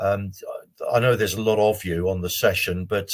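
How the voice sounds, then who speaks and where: A somewhat breathy man's voice at a fairly quick pace. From Jersey, Channel Islands. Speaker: careers adviser. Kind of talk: webinar presentation. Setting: online webinar from home.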